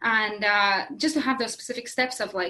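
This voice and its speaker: A woman with a Latvian accent, fairly high in pitch, with ordinary pitch variation. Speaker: craft workshop business owner. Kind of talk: interview. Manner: halting, many fillers.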